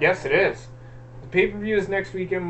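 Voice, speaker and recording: A man speaks in a high voice over noticeable background noise. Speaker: wrestling show host. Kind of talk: casual chat. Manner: halting, stuttering.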